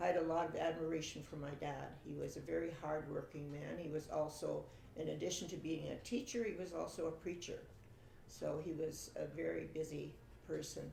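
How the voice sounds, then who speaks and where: A woman with a Canadian prairie accent at a fairly quick pace, with audible room echo. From Saskatchewan, Canada. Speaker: family interviewee telling her life story. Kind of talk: oral history interview. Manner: hesitant, with fillers.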